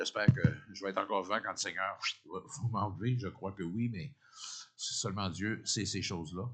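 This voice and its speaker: A man talks at a moderate pace with a fairly low pitch and ordinary pitch variation. His speech has long, frequent pauses. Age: 60s. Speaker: pastor. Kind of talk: sermon. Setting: church. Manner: halting, repeats words.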